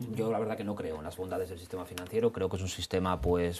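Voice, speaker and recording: His voice sits very deep and low, even for a man. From Spain. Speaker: lawyer. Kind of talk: studio debate. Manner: halting, many repetitions and fillers. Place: studio. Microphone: lapel.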